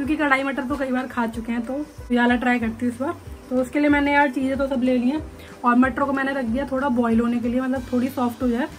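A woman's high-pitched voice, monotone and flat, at a fairly quick pace over light background noise. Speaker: home vlogger. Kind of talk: casual vlog chat. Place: home room. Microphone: phone near.

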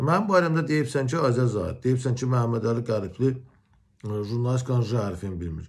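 Against a quiet background, a man speaks at a moderate pace in a somewhat breathy voice with lively intonation. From Azerbaijan. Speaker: journalist. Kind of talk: video commentary rebuttal. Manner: confrontational. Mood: aggrieved, confrontational. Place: home room. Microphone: phone near.

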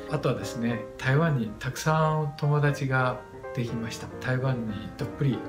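A man talks at a moderate pace with fairly even intonation. Clear music plays in the background. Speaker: channel host. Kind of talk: channel introduction talk. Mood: friendly, smiling. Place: home room. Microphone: phone near.

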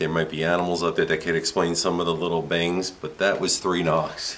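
A man with a very deep, low pitch talks very fast with hardly any pauses. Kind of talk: casual vlog chat. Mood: spooked but laughing. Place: home room. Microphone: camera far.

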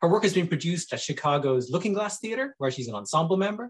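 Against a quiet background, a man speaks with lively intonation at a high pitch. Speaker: theatre director and interviewer. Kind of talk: reading a guest introduction. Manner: formal. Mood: warm and cheerful. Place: home room. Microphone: webcam.

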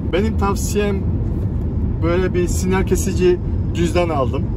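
A man speaks at a fairly slow pace. The sound is dry with no echo, though loud background noise runs underneath. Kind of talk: casual vlog chat. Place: car. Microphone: phone near.

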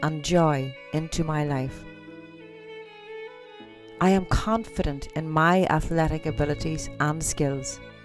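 Over music in the background, the speaker talks fairly slowly in a calm, soothing tone with an Irish accent, leaving long, frequent pauses. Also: woman. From Ireland. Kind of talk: guided affirmation meditation. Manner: calm, slow, soothing.

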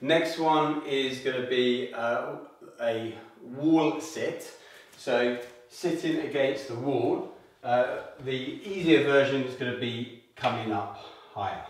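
The recording carries audible room echo. A man speaks very slowly with fairly even intonation. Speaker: fitness instructor. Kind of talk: tutorial. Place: home room. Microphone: camera far.

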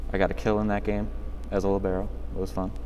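A man speaks in a very deep, low voice with lively intonation. Music plays in the background. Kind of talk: interview answer. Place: hall. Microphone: camera far.

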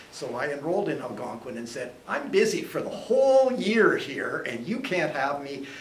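A man's voice comes with audible room echo and light background noise. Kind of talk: informal talk to a group. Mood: relaxed, humorous. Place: classroom. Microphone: camera far.

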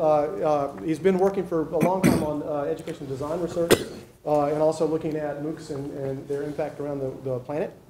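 The speech moves at a fairly quick pace with hardly any pauses. Noticeable background noise is present. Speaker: seminar host, academic. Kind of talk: speaker introduction. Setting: stage with audience.

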